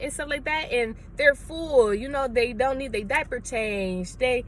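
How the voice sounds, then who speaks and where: In a room with audible echo, a woman with a high pitch speaks in an animated tone with lively intonation. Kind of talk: sermon-style vlog.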